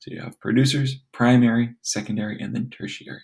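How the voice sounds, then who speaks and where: This man has a medium-pitched voice with audible vocal fry. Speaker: teacher. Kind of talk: reading aloud. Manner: fast.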